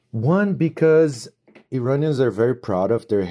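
Against a quiet background, a man with a Portuguese accent speaks with lively intonation. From Brazil. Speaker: foreign traveler sharing experience. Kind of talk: recorded testimony.

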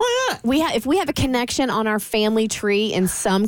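Here a woman with an American accent talks at a moderate pace. Her fairly high pitch shows ordinary variation. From Florida. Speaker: radio entertainment news host. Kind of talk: casual chat. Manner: animated.

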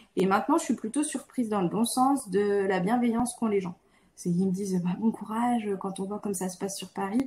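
Somewhat breathy with a dark, mellow tone, a woman speaks at a fairly quick pace with a medium pitch and ordinary pitch variation. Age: 30s. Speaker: physiotherapist and member of parliament. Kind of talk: interview conversation.

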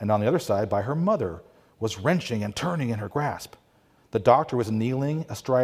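The reading aloud is plain, though the intonation is lively.

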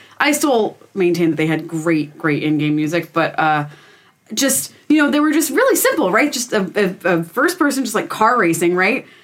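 With an American accent, a woman speaks at a moderate pace in a medium pitch marked by very wide pitch swings. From Pennsylvania. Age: 20s. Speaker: podcast guest. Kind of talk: casual chat.

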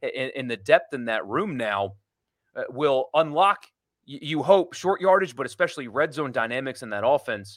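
A man with a fairly high pitch and lively intonation talks at a moderate pace in a normal speaking voice. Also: big swings in loudness. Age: 30s. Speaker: sports radio host. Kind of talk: casual chat.

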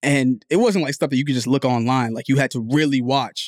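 A man with an unremarkable speaking voice and an American accent talks at a medium pitch, at a fairly quick pace, with fairly even intonation. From New Jersey, Liberian family. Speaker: podcast co-host. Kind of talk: casual chat.

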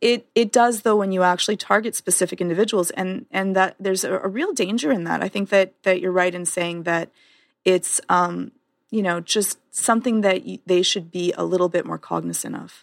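In a Canadian accent, a plain, everyday voice speaks with fairly even intonation, captured dry and close with no echo on a very clean recording against a silent background. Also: woman, medium pitch for a woman, moderate pace. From Canada. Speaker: podcast co-host. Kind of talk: casual chat.

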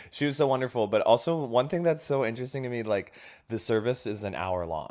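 In a very clean recording with a silent background, a man talks at a fairly quick pace with lively intonation. He has an unremarkable speaking voice at medium pitch. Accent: American. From Indonesia (American missionary community). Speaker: comedian and writer. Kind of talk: casual chat. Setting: host's living room.

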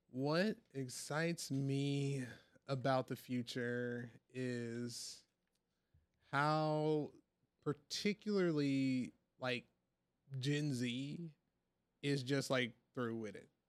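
A man with an American accent talks at a very slow pace and a fairly high pitch. He leaves long, frequent pauses. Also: ordinary pitch variation. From US South, Hattiesburg, Mississippi. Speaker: school board president and education advocate. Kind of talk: casual interview.

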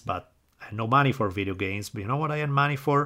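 In a strong Italian accent, a man talks at a fairly quick pace with a bright, sharp tone and ordinary pitch variation. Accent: thick Italian. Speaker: history podcaster and professor. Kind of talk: scripted narration. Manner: enthusiastic, passionate.

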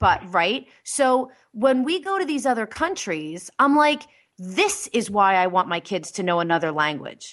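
A woman's pitch swings very widely. Behind her, the background is quiet. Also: medium pitch for a woman, fairly slow pace. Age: 40s. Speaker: talk radio host. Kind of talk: casual chat. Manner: animated.

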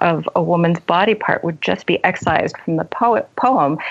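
This is a woman with a normal speaking voice. She keeps a moderate pace and lively intonation. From left Iran as a young child, raised in US. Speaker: novelist and creative writing teacher. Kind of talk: casual interview chat.

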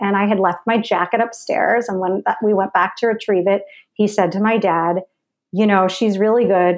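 A woman speaks at a moderate pace with fairly even intonation. Her pitch is medium, and she has an ordinary speaking voice. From New York (Westchester suburbs). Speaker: actress and filmmaker. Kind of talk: casual interview chat.

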